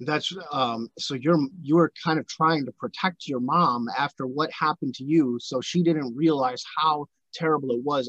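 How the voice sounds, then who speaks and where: Talking at a moderate pace in a normal speaking voice, a man with fairly high pitch keeps his intonation fairly even, the sound dry and close with no echo. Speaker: podcast host. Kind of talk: interview, casual conversation.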